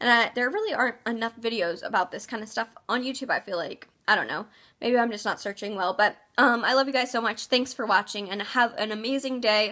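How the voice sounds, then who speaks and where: A bright, sharp tone at a fairly quick pace, with ordinary pitch variation. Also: woman, fairly high pitch for a woman. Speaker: vlogger. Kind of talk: casual advice vlog. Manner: fast; hesitant, many ums.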